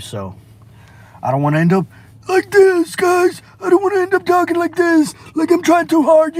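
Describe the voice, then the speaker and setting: A man's strained, put-on character voice at an extremely high pitch, with a moderate pace and long, frequent pauses. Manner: trying too hard.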